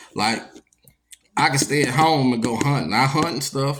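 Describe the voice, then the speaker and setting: Audible room echo surrounds a man speaking at a moderate pace and medium pitch with fairly even intonation. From Louisiana, Baton Rouge. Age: 40s. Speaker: podcast host. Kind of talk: casual monologue. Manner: laid-back, conversational.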